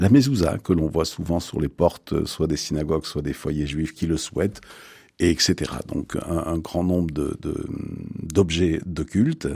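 A dark, mellow voice speaks at a fairly slow pace with ordinary pitch variation, recorded very cleanly over a silent background. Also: man, very deep, low pitch for a man. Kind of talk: radio interview.

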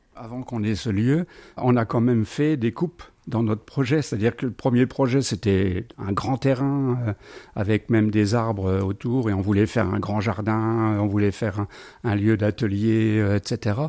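A man talks fairly slowly, his tone dark and mellow. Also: medium pitch for a man, ordinary pitch variation. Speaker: retiree, shared housing resident. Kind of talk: interview at home.

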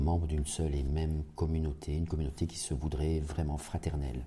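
A man's very deep, low voice, dark and mellow in tone and somewhat breathy, with fairly even intonation at a fairly quick pace. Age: 50s. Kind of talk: radio interview. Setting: parish house. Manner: hesitant, many repeated words.

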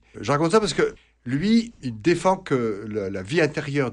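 Here a man speaks at a fairly high pitch. His voice moves in very wide pitch swings. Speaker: priest and psychologist. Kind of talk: radio interview answering listener questions. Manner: hesitant, many fillers.

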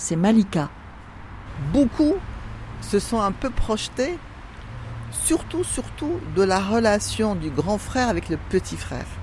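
Over noticeable background noise, a woman speaks very slowly, leaving long, frequent pauses. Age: middle-aged. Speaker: prison reading-group volunteer. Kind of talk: casual chat.

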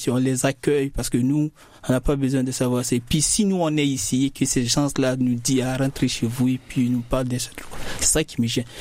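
An unremarkable speaking voice at a fairly quick pace, with fairly even intonation. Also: man. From Guinea. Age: young. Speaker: young migrant student. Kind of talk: casual discussion.

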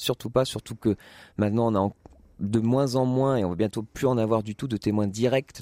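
A man with a fairly low pitch speaks in a dark, mellow tone with fairly even intonation. The sound is dry and close with no echo, and the recording is very clean with a silent background. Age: 20s. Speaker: playwright and actor. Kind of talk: radio interview. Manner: halting, many hesitations.

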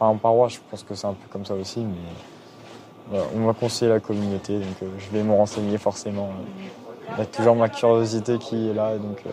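A man's fairly low voice at a moderate pace, with big swings in loudness over noticeable background noise. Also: fairly even intonation, hardly any pauses. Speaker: pilgrim. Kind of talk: testimony. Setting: petrol station. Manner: halting.

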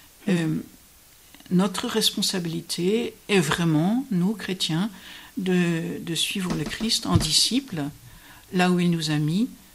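Someone is talking, and it is a woman. Noticeable background noise can be heard. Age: 70s. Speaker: Benedictine nun. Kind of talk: radio interview on scripture. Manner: hesitant, with many fillers.

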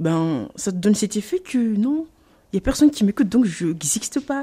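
Dark and mellow in tone, a woman speaks at a fairly slow pace. Her pitch makes very wide swings. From Mayotte. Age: 20s. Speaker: parent. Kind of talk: interview.

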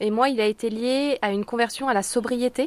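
A woman talks in a normal speaking voice, fairly high in pitch, with fairly even intonation. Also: dry, close sound with no echo. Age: 30s. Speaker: market gardener. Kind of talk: interview.

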